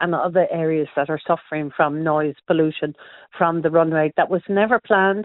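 Speaking here is a woman. She has an Irish accent. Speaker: travel writer. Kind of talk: radio interview. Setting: phone call.

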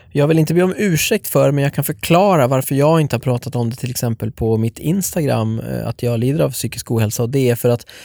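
With a dark, mellow tone at a medium pitch, a man talks at a fairly quick pace using lively intonation, the sound dry and close with no echo. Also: very clean recording, silent background. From Sweden, Norrtälje. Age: 30s. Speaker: podcast host. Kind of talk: casual chat.

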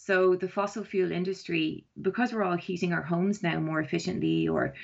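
The speaker has an Irish accent and a monotone, flat intonation. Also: woman. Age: 40s. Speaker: environmental campaigner. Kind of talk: interview. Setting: phone call. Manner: hesitant, many ums.

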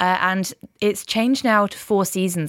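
A woman with an Irish accent speaks with fairly even intonation, in a very clean recording with a silent background and a dry, close sound with no echo. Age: 20s. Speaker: radio station staffer and game reviewer. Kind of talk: casual chat.

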